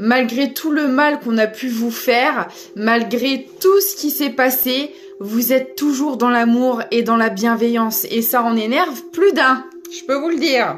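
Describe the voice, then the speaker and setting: Loud and shrill, a woman with a high pitch and lively intonation talks at a very slow pace over noticeable background noise. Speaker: tarot reader. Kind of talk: spiritual guidance reading.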